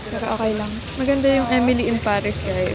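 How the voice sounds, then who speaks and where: Through audible room echo and noticeable background noise, a woman's voice moves at a fairly quick pace. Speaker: travel vlogger. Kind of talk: travel vlog narration. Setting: outdoors. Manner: loud.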